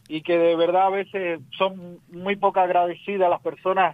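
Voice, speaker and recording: A man is the speaker. He talks with a high pitch. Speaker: radio host and political commentator. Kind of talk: remote interview.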